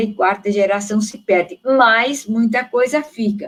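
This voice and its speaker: A woman with a São Paulo accent speaks at a fairly slow pace, her medium-pitched voice keeping fairly even intonation. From São Paulo, Brazil. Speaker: theologian. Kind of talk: panel discussion. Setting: online live stream. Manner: halting.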